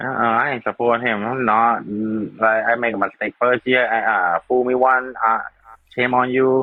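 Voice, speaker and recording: A man with a Thai accent speaks at a medium pitch and moderate pace in monotone, flat intonation. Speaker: live stream co-host. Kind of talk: casual chat. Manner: halting, repeats words.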